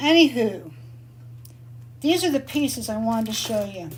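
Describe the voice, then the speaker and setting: A woman at a moderate pace, with noticeable background noise and audible room echo. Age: 60s. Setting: live video session from her workshop. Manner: casual, chatty.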